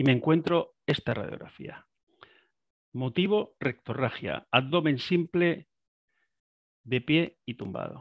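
With lively intonation and a fairly high pitch, a man speaks at a very slow pace, pausing long and often. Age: 70s. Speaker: retired radiologist. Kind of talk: lecture.

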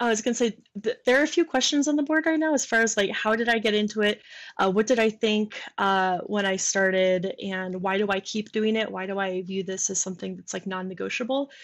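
Against a quiet background, a woman with an unremarkable speaking voice talks at a fairly quick pace, her pitch fairly high with ordinary variation. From Michigan. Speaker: software developer and product manager. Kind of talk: casual chat. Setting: video call.

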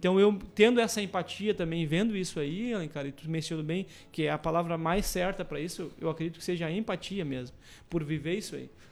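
Recorded very cleanly with a silent background, a man with a high pitch talks fairly quickly with ordinary pitch variation. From Camaquã, Rio Grande do Sul, Brazil. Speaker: entrepreneur. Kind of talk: radio interview. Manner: halting.

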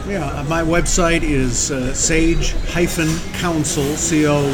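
Noticeable background noise and audible room echo fill the clip. A man speaks at a fairly high pitch. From upstate New York. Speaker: executive coach and interim pastor. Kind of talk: casual interview. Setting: live remote at a fast food restaurant.

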